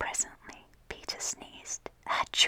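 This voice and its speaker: A woman is whispering. Her tone is gentle. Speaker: ASMR content creator. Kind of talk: whispered ASMR storybook reading for sleep. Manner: whispered, soft, gentle.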